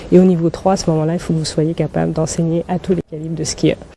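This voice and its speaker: Monotone, flat intonation from a woman, with noticeable background noise. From Burkina Faso. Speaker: ski instructor and guide for blind skiers. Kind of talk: TV interview answer.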